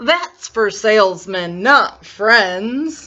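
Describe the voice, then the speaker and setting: A female-sounding put-on character voice is pitched fairly high. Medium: read story. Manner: dramatic, overwrought.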